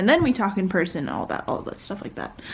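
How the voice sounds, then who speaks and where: A woman's voice against noticeable background noise. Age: young. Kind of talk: casual vlog chat. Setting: at home, wearing a face mask. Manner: rambling, with many fillers.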